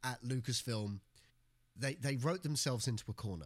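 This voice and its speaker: Here a man talks at a fairly quick pace in a somewhat breathy voice. The recording is very clean, with a silent background. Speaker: podcast co-host, comedian. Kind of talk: casual comedic chat.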